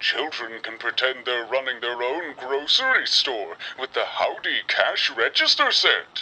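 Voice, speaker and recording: A put-on character voice sits at low-to-middle pitch. It moves at a moderate pace with hardly any pauses. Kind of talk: vintage holiday catalog commercial. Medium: read story. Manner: jolly, chuckling, warm.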